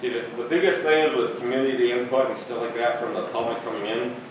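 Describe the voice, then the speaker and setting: Strong room echo and noticeable background noise surround a man speaking at a fairly quick pace with ordinary pitch variation. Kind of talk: meeting remarks. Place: meeting room. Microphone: camera far.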